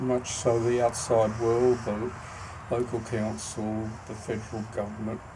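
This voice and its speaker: Fairly slow, flat, monotone speech in an Australian accent. The room echoes audibly, and background noise is noticeable. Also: man. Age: 60s. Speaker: founder of an organisation. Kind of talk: self-recorded introduction video. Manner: halting, frequent ums.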